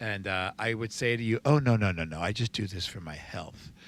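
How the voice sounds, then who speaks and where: A man with a plain, everyday voice and an American accent, fairly low in pitch with ordinary pitch variation, at a fairly quick pace on a very clean recording with a silent background. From New Jersey. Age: 60s. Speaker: recovery sponsor. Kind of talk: casual podcast interview.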